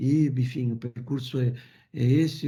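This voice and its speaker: A man with a Brazilian accent speaks in a dark, mellow tone that is somewhat breathy. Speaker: engineer and company founder. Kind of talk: recorded interview. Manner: hesitant, many repetitions.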